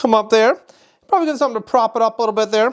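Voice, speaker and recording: The woman's intonation is lively. Her voice sits fairly high. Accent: Wisconsin. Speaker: photography teacher. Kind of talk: tutorial. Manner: casual, joking.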